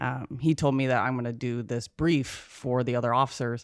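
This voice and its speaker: Speech at a moderate pace, in an American accent. The recording is very clean, with a silent background. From Minnesota. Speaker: Marine veteran and executive assistant. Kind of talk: casual chat.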